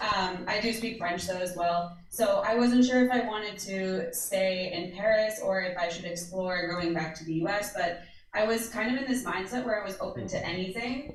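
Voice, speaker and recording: A woman of medium pitch speaks at a moderate pace with hardly any pauses and ordinary pitch variation, amid audible room echo and noticeable background noise. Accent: American. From United States. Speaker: social media producer. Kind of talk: panel talk.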